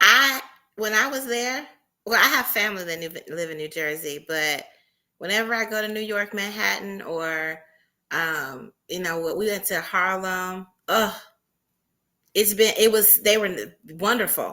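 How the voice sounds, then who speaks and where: With a bright, sharp tone in a Southern US accent, the voice shows ordinary pitch variation and leaves long, frequent pauses. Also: woman, medium pitch for a woman, fairly slow pace. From US South. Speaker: entrepreneur panelist. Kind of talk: panel discussion.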